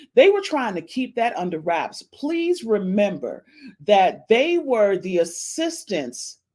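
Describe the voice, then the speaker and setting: A woman speaks at a very slow pace with very wide pitch swings. The recording is very clean, with a silent background. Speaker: gossip podcast host. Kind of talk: casual celebrity gossip monologue. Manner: animated.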